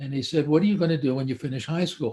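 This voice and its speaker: This man speaks with a dark, mellow tone at a fairly high pitch, with ordinary pitch variation and a somewhat breathy quality. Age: 80s+. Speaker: psychiatrist. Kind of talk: live stream talk. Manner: halting.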